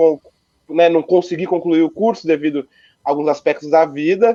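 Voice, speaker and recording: Moderate in pace, a man's voice sits high in pitch. The tone is dark and mellow with ordinary pitch variation. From Brazil, Ourinhos, São Paulo state. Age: 20s. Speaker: local election candidate and history student. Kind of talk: political interview. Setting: livestream.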